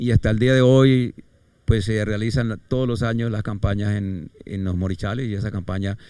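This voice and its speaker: A man speaks in a dark, mellow tone at a fairly low pitch. His intonation is fairly even and his pace moderate. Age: 70s. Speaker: retired pastor. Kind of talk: life story interview. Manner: halting.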